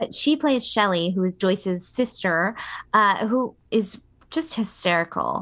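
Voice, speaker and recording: In a normal speaking voice, a woman talks at medium pitch and a fairly slow pace. Her intonation is lively, and the background is quiet. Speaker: podcast co-host. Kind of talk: casual chat.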